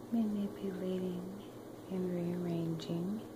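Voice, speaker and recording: Over noticeable background noise, the words come at a very slow pace. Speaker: spiritual energy vlogger. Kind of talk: casual vlog chat. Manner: soft close whisper. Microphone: phone near.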